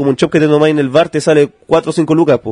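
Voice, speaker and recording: A man with a Chilean accent speaks fairly high in a dry, close sound with no echo. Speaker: stand-up comedian. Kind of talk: casual chat.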